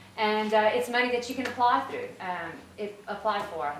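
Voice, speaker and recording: Amid noticeable background noise and audible room echo, a woman with a fairly high pitch speaks at a fairly quick pace with fairly even intonation. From south Louisiana (Breaux Bridge, Cajun area). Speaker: agriculture department official. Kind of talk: conference presentation. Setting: workshop audience. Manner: fast.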